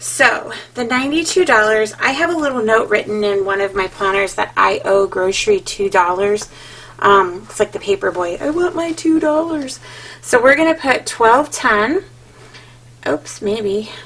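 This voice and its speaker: A woman talks at a fairly slow pace. Her pitch swings very widely. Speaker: budget vlogger. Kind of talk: casual tutorial chat.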